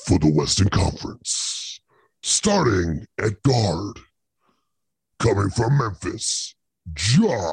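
A put-on character voice, low-pitched, very slow, with long and frequent pauses. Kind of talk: booming announcer voice. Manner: theatrical, hyped.

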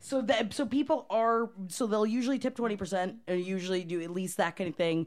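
In a plain, everyday voice with an American accent, a woman talks at a fairly quick pace and medium pitch, with lively intonation, hardly any pauses and a quiet background. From Florida, US. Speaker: restaurant manager. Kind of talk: casual chat.

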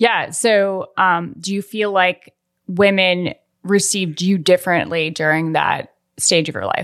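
In a very clean recording with a silent background, a woman with an ordinary speaking voice talks at a fairly slow pace, her medium pitch carrying fairly even intonation. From Colorado, US. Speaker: podcast co-host and editor. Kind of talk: casual chat.

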